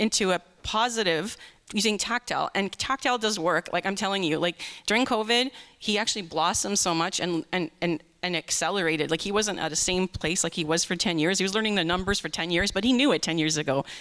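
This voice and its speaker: A woman with a Canadian accent talks at a very fast pace. Her pitch is medium, with ordinary variation. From Canada, Greater Toronto Area. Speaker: parent asking a question at a conference. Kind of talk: audience question.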